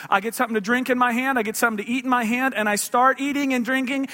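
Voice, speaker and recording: A man's raised, projected voice, extremely high in pitch, with ordinary pitch variation. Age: 30s. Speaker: pastor. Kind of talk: sermon. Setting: church.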